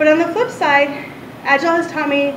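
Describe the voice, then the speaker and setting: A loud woman talks at a fairly quick pace amid audible room echo and noticeable background noise. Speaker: UX designer giving conference talk. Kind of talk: ignite talk. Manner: fast.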